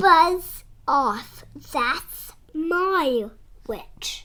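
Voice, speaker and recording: A woman puts on a character voice that is high, growling and croaky. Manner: fierce, dripping, squelching.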